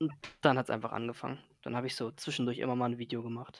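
A man talks at a very fast pace, and the sound is dry with no echo. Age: 20s. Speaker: gaming content creator. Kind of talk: casual interview. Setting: voice-only call, no camera. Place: home room.

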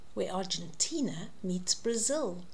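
Somewhat breathy, dark and mellow, with very wide swings in pitch. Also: woman. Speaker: storyteller reading to a child. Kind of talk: children's story read-aloud. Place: home room. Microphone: webcam.

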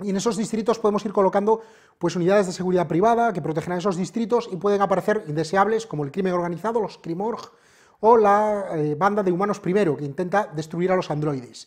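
Against a quiet background, a man with a high voice talks at a very fast pace. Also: ordinary pitch variation. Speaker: presenter. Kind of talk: review and tutorial. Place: shop. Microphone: lapel.

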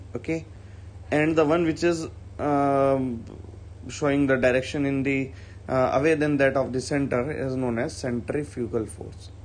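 With an Indian accent, a man talks at a moderate pace and medium pitch, with ordinary pitch variation and long, frequent pauses. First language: Hindi. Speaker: school physics teacher. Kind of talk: online class lecture. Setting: online video lecture. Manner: hesitant, frequent fillers.

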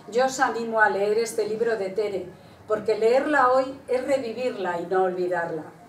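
With audible room echo and light background noise, a woman speaks at a moderate pace. Her pitch is fairly high, with ordinary pitch variation. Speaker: presenter. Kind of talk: reading aloud a written tribute. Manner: formal, measured. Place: hall. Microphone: podium.

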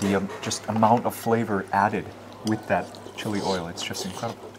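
Over noticeable background noise, a man talks at a fairly quick pace and a fairly low pitch. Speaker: local food vlogger, Chiang Mai resident; food vlogger guest. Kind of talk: casual chat. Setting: outdoors at a mountain restaurant. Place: cafe.

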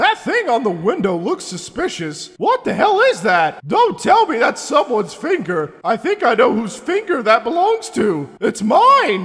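A man talks at extremely high pitch with very wide pitch swings. His pace is moderate, with hardly any pauses. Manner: excitable, sarcastic.

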